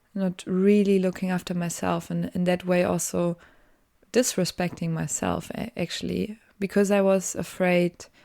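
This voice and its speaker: In a very clean recording with a silent background, a woman speaks with a German accent at a fairly slow pace. Her fairly low voice has a dark, mellow tone and a monotone, flat intonation. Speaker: podcaster, design student. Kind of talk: casual solo podcast monologue. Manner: halting, many fillers.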